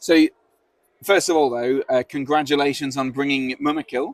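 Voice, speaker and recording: Moving at a fairly quick pace, a man with an English accent speaks at a fairly high pitch. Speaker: tournament stream host. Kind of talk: live stream interview. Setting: outdoors on a veranda.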